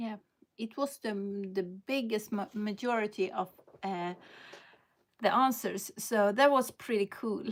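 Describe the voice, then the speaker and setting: Fairly high-pitched woman's voice with a Swedish accent, fairly slow with long, frequent pauses and ordinary pitch variation, on a very clean recording with a silent background. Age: 50s. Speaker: lifestyle vlogger. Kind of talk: live stream casual chat. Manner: halting, with many fillers.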